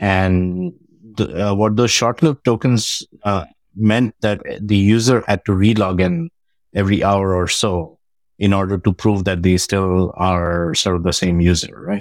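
In a very clean recording with a silent background and a dry, close sound with no echo, a man with an Indian accent speaks at a fairly slow pace, with a fairly low pitch, ordinary pitch variation and very even loudness. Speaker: tech company CTO. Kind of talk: casual interview. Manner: hesitant, many fillers.

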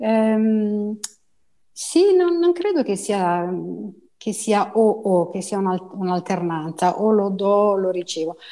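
Speaking very slowly with long, frequent pauses, a woman uses lively intonation and a dark, mellow tone. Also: medium pitch for a woman. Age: 60s. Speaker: body therapist (rolfing practitioner and teacher). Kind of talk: interview. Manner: halting, many fillers and repetitions.

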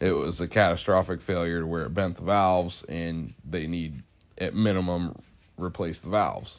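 A man's very deep, low voice with an American accent, moderate pace and fairly even intonation. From Ohio, US. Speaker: mechanic and podcast co-host. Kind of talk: casual chat.

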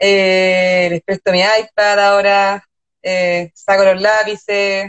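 Speaking very slowly, a woman uses a Chilean accent at a medium pitch. The sound is dry and close, with no echo. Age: young. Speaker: illustrator and designer. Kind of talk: casual interview chat. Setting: Instagram live.

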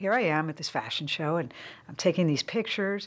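On a very clean recording with a silent background, a woman talks with a Californian accent. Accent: Californian American. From San Francisco Bay Area. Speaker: former celebrity photographer. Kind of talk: casual chat.

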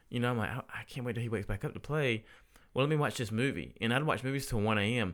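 Talking at a very fast pace, a man speaks with a Southern US accent. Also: medium pitch for a man, ordinary pitch variation, very clean recording, silent background. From US South, Statesboro, Georgia. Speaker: spouse of athlete. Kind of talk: casual chat.

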